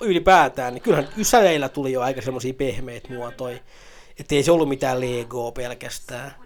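A man speaks at a moderate pace in a fairly high pitch. His tone is animated, with ordinary pitch variation. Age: 30s. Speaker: podcast host. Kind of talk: casual solo commentary. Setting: at home on a sofa.

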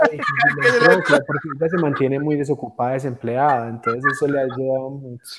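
At a moderate pace with hardly any pauses, a man with an ordinary speaking voice talks at a fairly high pitch with lively intonation. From Colombia. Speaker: comedian and storyteller. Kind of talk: casual chat.

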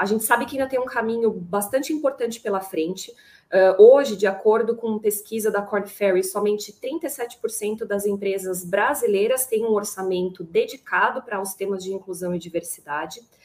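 Here is a woman with an ordinary speaking voice at medium pitch. She keeps a moderate pace with ordinary pitch variation. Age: 30s. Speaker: panel moderator, HR manager. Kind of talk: panel discussion.

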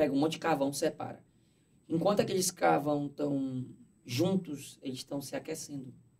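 A man with a fairly high pitch and a somewhat breathy voice talks at a moderate pace, his pitch varying in an ordinary way. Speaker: content creator. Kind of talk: casual chat. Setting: studio.

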